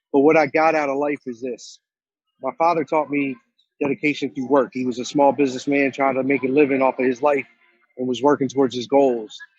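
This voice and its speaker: With music in the background, a man talks at a fairly quick pace in a fairly high pitch with monotone, flat intonation. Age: 40s. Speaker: tattoo shop owner and entrepreneur. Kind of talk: motivational talk. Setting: video call from inside a store. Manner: casual, conversational.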